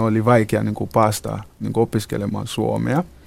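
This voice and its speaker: This man's voice is fairly low in pitch and dark, mellow in tone, delivered with monotone, flat intonation. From Ghana. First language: not Finnish (speaking Finnish). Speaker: nurse and reception centre counselor. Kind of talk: interview. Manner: halting.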